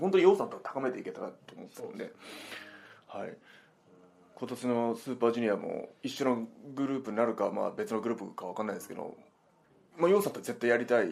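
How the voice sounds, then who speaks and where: Very wide pitch swings mark a man's voice as he talks at a very fast pace. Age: 30s. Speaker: pro wrestler. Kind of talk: casual chat. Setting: recorded on a recorder.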